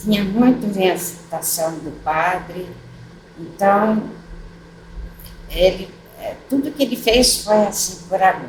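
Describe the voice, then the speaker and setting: A woman speaks at a medium pitch with ordinary pitch variation, at a very slow pace with long, frequent pauses. Audible room echo and noticeable background noise surround her. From São Paulo state, Brazil (Tatuí). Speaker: retired teacher, widow of former mayor. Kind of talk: oral history interview. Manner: halting, many fillers.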